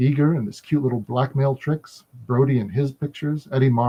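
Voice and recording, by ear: Reading aloud in a natural voice, the intonation fairly level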